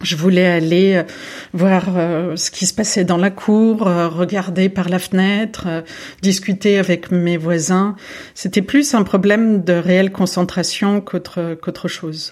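This woman talks at a very slow pace. Her intonation stays fairly even. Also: medium pitch for a woman. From France, Paris region and Lyon. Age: 40s. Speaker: art gallery director. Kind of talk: interview. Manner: halting, frequent repetitions.

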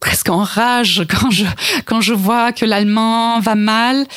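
A woman with a German accent talks at a very slow pace, keeping her loudness very even and her intonation fairly even. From East Germany. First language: German (speaking French). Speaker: cultural institute director. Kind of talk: radio interview. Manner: halting, repeating words.

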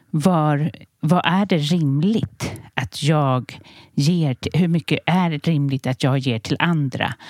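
A woman speaks at a very slow pace with a very deep, low pitch, ordinary pitch variation, and very even loudness. The recording is very clean, with a silent background and a dry, close sound with no echo. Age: 40s. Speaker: podcast host and stress coach. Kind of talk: casual chat and interview.

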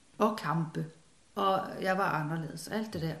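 A woman talks at a fairly slow pace with ordinary pitch variation. Her voice is somewhat breathy. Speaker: former doctor and spiritual author. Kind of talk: casual interview conversation. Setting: at home in living room. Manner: hesitant, many fillers and repetitions.

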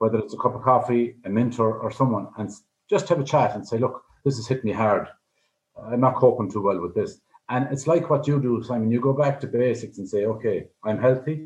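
A man speaks at a fairly quick pace in an Irish accent. His voice is somewhat breathy, with ordinary pitch variation. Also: medium pitch for a man. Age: 60s. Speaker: life coach. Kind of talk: radio interview.

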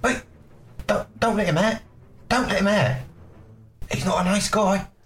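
Someone speaks at a moderate pace in a put-on character voice of middle pitch. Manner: pleading, warning.

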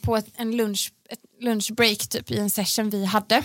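Speaking at a fairly slow pace, a woman uses a normal speaking voice with a fairly high pitch and fairly even intonation. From Sweden, Gothenburg. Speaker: pop singer. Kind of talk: casual chat. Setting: studio.

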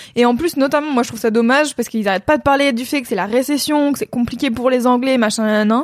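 A woman talks at a very fast pace with hardly any pauses and a high pitch. Her pitch variation is ordinary, and background noise is noticeable. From France. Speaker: content creator. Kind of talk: casual chat. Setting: Twitch livestream.

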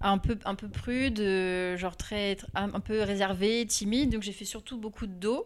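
This woman has an ordinary speaking voice, pitched fairly high. She talks at a fairly slow pace. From Normandy, France (Rouen). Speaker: illustrator. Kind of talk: interview.

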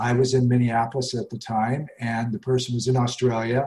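A somewhat breathy man with an American accent, a dark, mellow tone and a fairly quick pace. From US Rocky Mountains. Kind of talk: interview.

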